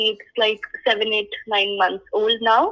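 A woman speaks at a moderate pace. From India. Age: 20s. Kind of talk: interview. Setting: phone call.

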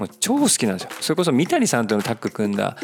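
Very fast talking from a man amid noticeable background noise. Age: 40s. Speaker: podcast host, amateur runner. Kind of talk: solo monologue podcast, casual. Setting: cafe. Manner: chatty, filler-heavy.

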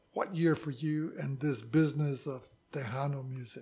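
A somewhat breathy man at a fairly high pitch, fairly slow in pace with ordinary pitch variation, on a very clean recording with a silent background. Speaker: podcast host and organization founder. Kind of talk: interview.

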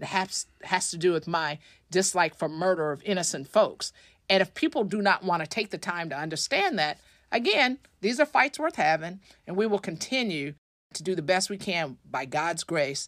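With an American accent, a woman speaks in an unremarkable speaking voice at medium pitch with lively intonation, on a very clean recording with a silent background and a dry, close sound with no echo. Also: moderate pace. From Tulsa, Oklahoma. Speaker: state legislator. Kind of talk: interview. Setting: studio.

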